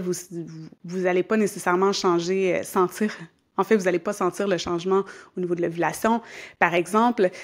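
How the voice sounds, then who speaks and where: Fairly quick pace from a woman at a medium pitch, fairly even intonation, in a very clean recording with a silent background. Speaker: yoga teacher and podcast host. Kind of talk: podcast monologue. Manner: calm, conversational.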